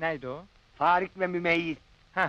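In a raised, projected voice, a man talks at a fairly slow pace, the sound dry with no echo. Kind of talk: acted storytelling dialogue.

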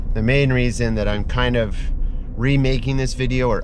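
Over noticeable background noise, a man talks with a dry sound and no echo. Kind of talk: casual vlog chat. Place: car. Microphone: phone near.

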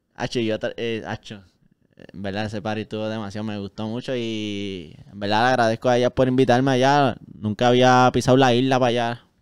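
A man with a medium-pitched voice speaks at a moderate pace against a quiet background, his intonation fairly even but his loudness swinging widely. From Puerto Rico, Caguas; Puerto Rico. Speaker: musician; guest. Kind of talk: casual chat. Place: studio. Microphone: handheld.

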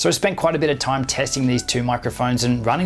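A man at a medium pitch and a fairly quick pace, with fairly even intonation.

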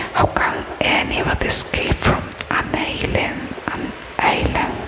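Under loud background noise, a soft-spoken woman talks at a very slow pace. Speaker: storyteller. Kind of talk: storytelling reading aloud. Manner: soft close-mic ASMR reading voice. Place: home room. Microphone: studio mic.

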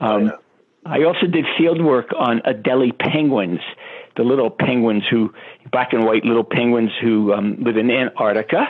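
This man has an unremarkable speaking voice with medium pitch. He keeps a moderate pace and very even loudness. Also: ordinary pitch variation. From Brooklyn, New York. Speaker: animal behavior scientist. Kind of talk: interview.

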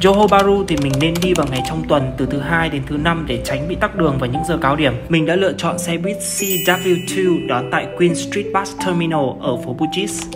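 Moderate-paced speech with hardly any pauses over music in the background. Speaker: travel vlogger. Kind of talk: travel vlog narration.

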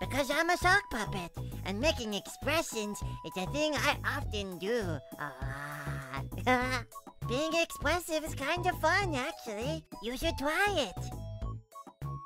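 Delivered at a fairly slow pace, this put-on character voice plays over clear music in the background. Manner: sweet, bashful, cheerful.

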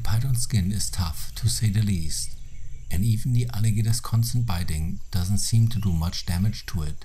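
Somewhat breathy and dark, mellow in tone, a man speaks at a moderate pace in a fairly low pitch with ordinary pitch variation. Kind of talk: nature documentary narration. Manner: measured, even, explanatory.

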